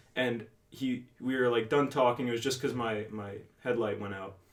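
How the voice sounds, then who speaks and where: A man talks with a New Jersey accent. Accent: New Jersey American. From northern New Jersey, Bergen County. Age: 18. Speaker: podcast co-host. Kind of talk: casual chat.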